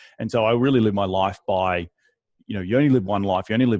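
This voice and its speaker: Here a man talks at a very fast pace in an Australian accent. His intonation stays fairly even. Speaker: real estate investor. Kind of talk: interview. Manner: repetitive restarts, halting.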